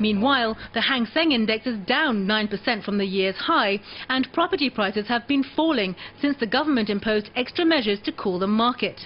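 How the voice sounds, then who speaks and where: A woman with a fairly high pitch speaks at a fairly quick pace and very even loudness over noticeable background noise. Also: lively intonation. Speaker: TV news reporter. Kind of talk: TV news report narration.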